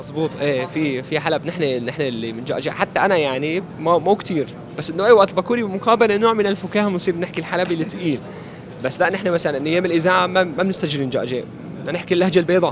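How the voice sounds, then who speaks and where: A man with an Aleppo accent speaks at a very fast pace in a high voice with ordinary pitch variation, over noticeable background noise. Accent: Aleppo Syrian Arabic. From Syria, Aleppo (eastern districts). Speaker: amputee interviewee, former radio presenter. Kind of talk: interview. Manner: halting, with frequent repetitions.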